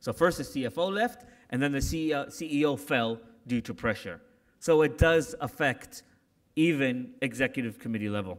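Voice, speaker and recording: With lively intonation, a man speaks at a moderate pace in a fairly high voice over a quiet background. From Canada. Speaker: corporate security executive; keynote speaker. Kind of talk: keynote speech. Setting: conference stage with audience. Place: hall. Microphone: podium.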